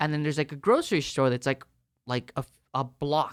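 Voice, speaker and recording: Recorded very cleanly with a silent background and a dry, close sound without echo, a man talks with an American accent. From US Southwest, El Paso, Texas border town. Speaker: professional guitarist. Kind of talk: casual chat. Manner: animated.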